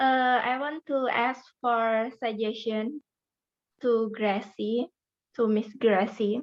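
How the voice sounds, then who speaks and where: A woman with a fairly high pitch speaks very slowly. Her intonation stays fairly even. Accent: Indonesian. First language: Indonesian. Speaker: participant asking a question. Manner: halting.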